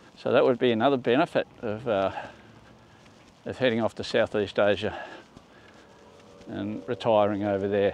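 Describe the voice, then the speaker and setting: Speaking in an Australian accent at a moderate pace, a man with a medium-pitched voice keeps his intonation fairly even and leaves long, frequent pauses. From Australia, Melbourne. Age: 60s. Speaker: vlogger. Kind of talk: casual vlog monologue. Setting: outdoors on a walk. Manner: halting.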